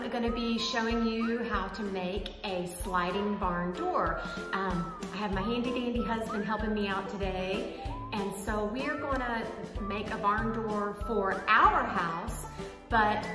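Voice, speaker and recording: With clear music in the background, a woman talks at a very slow pace. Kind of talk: casual vlog chat. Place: home room. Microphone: phone near.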